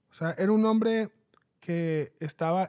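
A man with a high pitch and a dark, mellow tone speaks at a very slow pace with ordinary pitch variation. The recording is very clean, with a silent background and a dry, close sound with no echo. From Mexico, Mexicali. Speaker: podcast host. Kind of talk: book review monologue. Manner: halting, many repetitions and fillers.

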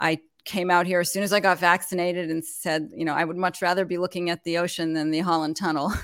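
A woman speaks at a very fast pace in a fairly low pitch with a monotone, flat intonation, on a very clean recording with a silent background. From Montreal, Canada. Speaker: business founder and consultant. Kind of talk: casual interview chat. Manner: halting, with frequent filler words and laughs.

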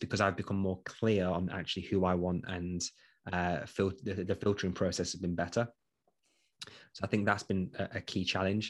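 A man with an East Midlands accent speaks in a very deep, low pitch with monotone, flat intonation at a moderate pace, in a very clean recording with a silent background. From English East Midlands, Nottinghamshire. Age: 30s. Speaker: entrepreneur, former police detention officer. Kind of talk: interview. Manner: hesitant, frequent fillers.

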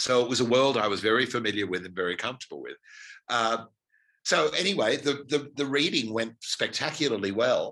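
With an Australian accent, a man speaks at medium pitch and moderate pace, his tone bright and sharp and his pitch variation ordinary. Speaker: stage actor and director. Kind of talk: interview. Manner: halting.

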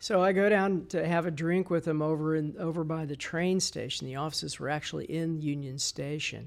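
With an ordinary speaking voice, a man talks at a fairly quick pace and a fairly high pitch, his intonation fairly even and hardly any pauses between words. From Texas, Dallas. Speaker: architect, design director. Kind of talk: interview.

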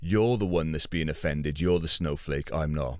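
With a British accent, a man speaks at a moderate pace in a very deep, low voice with ordinary pitch variation. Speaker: podcast host and music maker. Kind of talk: angry rant, profane and sweary. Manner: sweary and blunt; riled up, sarcastic and scornful.

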